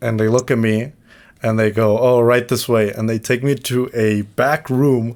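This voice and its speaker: A man with a Mexican accent at medium pitch, flat and monotone, with very even loudness, on a very clean recording with a silent background. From Mexico. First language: Spanish. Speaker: podcast co-host. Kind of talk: casual chat. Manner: halting.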